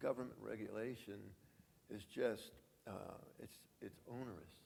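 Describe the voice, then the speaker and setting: A man speaks with vocal fry and fairly even intonation. Audible room echo surrounds him. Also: medium pitch for a man, fairly slow pace. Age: 80s+. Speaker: franchise business founder. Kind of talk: conference interview. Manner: halting.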